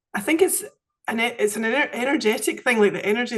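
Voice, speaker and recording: Here is a woman with a Scottish accent. She talks at a fairly quick pace. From Scotland. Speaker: women's circle facilitator. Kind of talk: podcast interview answer.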